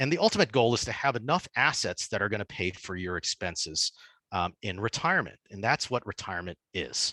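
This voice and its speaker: Dry and close with no echo, a man's fairly low-pitched voice has a bright, sharp tone, lively intonation and a fairly quick pace. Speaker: dentist giving a finance webinar. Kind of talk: webinar lecture. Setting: online webinar. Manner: fast.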